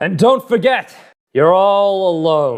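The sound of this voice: A man speaks slowly-ish, at a fairly slow pace, in a cartoonish character voice pitched high. His intonation is lively.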